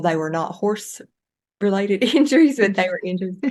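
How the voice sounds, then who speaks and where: At a moderate pace, a woman talks in a Southern US accent. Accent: Southern US, noticeable. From US Southeast, rural farm. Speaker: yoga teacher and animal somatic educator. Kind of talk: interview conversation. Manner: halting, many fillers.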